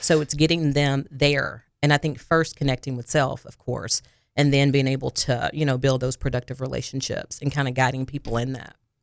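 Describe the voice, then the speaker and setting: Speaking with a Southern US accent and hardly any pauses, a woman uses a very deep, low pitch and makes big swings in loudness. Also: fairly even intonation, fairly quick pace. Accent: US South. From Arkansas, near Jonesboro. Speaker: counselor. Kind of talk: interview. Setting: studio.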